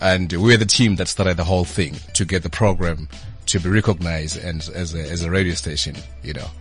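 A man with a very deep, low voice and ordinary pitch variation speaks fairly quickly while music plays in the background. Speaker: events company founder, former campus radio presenter. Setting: studio.

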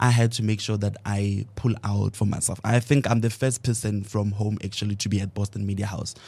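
Fairly low-pitched and somewhat breathy, a man speaks fairly quickly with hardly any pauses, his dark, mellow tone held to a monotone, flat intonation on a very clean recording with a silent background. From South Africa, Mafikeng. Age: 20s. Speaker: media student. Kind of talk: panel discussion.

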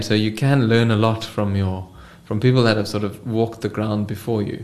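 There is audible room echo as a man with a medium-pitched voice talks at a moderate pace. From South Africa, Cape Town. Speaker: startup co-founder and finance executive. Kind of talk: interview.

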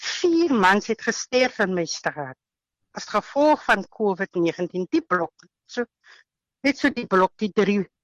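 A woman speaks at a medium pitch with very wide pitch swings. The sound is dry and close with no echo, against a quiet background. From Western Cape, South Africa. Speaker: housewife sharing healing testimony. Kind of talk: interview testimony. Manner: halting.

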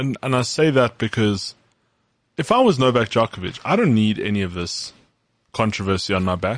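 A man talks at a fairly quick pace in an ordinary speaking voice, medium in pitch, with lively intonation. The background is quiet. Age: 20s. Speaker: sports podcast co-host. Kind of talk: casual chat.

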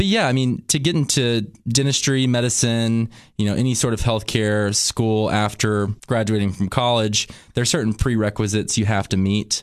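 A man at medium pitch, moderate pace, very even loudness and fairly even intonation, over a quiet background. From Cookeville, Tennessee, US South. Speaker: dentist. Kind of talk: casual interview chat.

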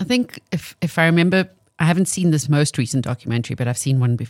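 The pace is moderate, with ordinary pitch variation. The sound is dry and close, with no echo. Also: woman. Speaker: radio co-host. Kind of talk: casual radio chat.

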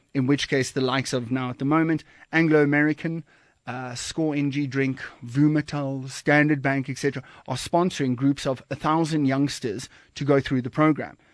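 Against a quiet background, a man with a fairly high pitch talks fairly quickly in a monotone, flat intonation. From South Africa, Western Cape. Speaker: founder of a youth life skills academy. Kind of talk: casual interview. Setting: studio.

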